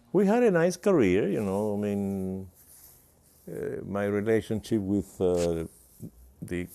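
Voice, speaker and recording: A man talks in a fairly low pitch. His tone is dark and mellow. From Cuba, Havana. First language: Spanish. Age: 90s. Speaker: composer and emeritus professor. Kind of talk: interview.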